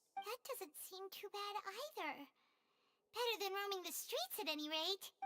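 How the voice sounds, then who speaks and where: The speaker uses a put-on character voice that is squeaky and extremely high in pitch. The pace is moderate. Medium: video game. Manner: curious, sympathetic.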